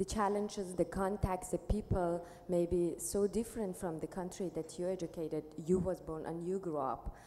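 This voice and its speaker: A woman speaks with an Iranian accent at a moderate pace. Her fairly low voice has a dark, mellow tone and fairly even intonation. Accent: Iranian Persian-accented Dari. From Iran, Tehran. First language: Dari/Persian. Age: young. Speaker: panelist, returnee refugee. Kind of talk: panel discussion. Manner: halting.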